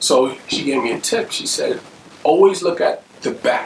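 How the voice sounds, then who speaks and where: Noticeable background noise is present. The voice belongs to a man. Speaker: motivational vlogger. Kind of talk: casual talk to camera. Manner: casual, conversational.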